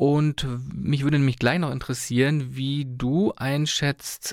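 A man of medium pitch speaks at a very slow pace in a very clean recording with a silent background. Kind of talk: radio interview. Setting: studio.

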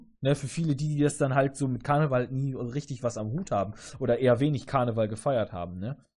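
A somewhat breathy man at medium pitch, talking at a very fast pace with ordinary pitch variation, quiet background. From southern Germany, Augsburg area. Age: 30s. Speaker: podcast host. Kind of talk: casual chat.

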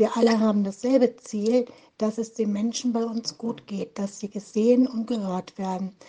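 A woman talks at a moderate pace in a dark, mellow tone, somewhat breathy. Her intonation stays monotone and flat. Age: 50s. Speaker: online support group administrator. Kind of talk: interview.

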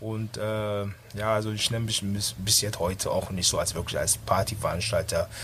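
Moderately paced speech from a man, with noticeable noise in the background. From Düsseldorf, moved from Ghana as a child. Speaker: party organizer and DJ. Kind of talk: casual radio interview. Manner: halting.

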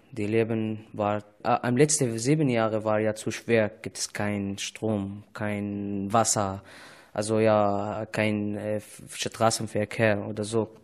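Very slowly and in a flat monotone, a man with an Arabic accent speaks at a fairly low pitch. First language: Arabic (speaking German). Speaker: refugee. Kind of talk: casual interview. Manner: halting.

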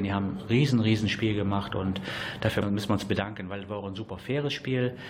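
Over noticeable background noise, a man speaks at a very fast pace in a monotone, flat way. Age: 40s. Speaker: amateur football coach. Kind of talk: radio interview.

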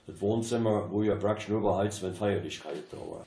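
Audible room echo surrounds a man speaking at a moderate pace and a fairly low pitch. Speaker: local dialect speaker. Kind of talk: anecdotal storytelling.

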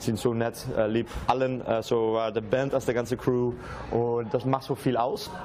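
Speaking with a Dutch accent at a moderate pace, the man keeps a medium pitch and very even loudness over noticeable background noise. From Netherlands. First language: Dutch (speaking German). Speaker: acoustic musician. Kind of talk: casual interview. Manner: halting.

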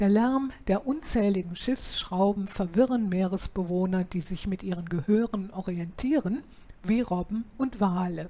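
Somewhat breathy, a woman speaks at a medium pitch with a dark, mellow tone and ordinary pitch variation. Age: 70s. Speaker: podcaster. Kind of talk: scripted narration.

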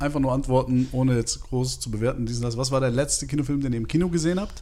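With a normal speaking voice, a man keeps a medium pitch that varies in an ordinary way. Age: 30s. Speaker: film podcast co-host. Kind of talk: casual chat.

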